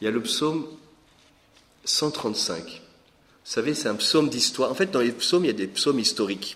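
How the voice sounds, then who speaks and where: At medium pitch and a moderate pace, a man's voice swings very widely in pitch, broken by long, frequent pauses. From Lorraine, France. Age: 40s. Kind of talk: teaching talk. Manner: hesitant with repetitions.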